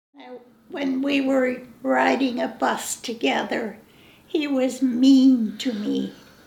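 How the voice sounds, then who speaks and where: In a room with audible echo and noticeable background noise, a woman with an American accent speaks very slowly in a high pitch, her intonation fairly even but her loudness swinging widely. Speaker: grandparent interviewee. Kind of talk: family oral history interview.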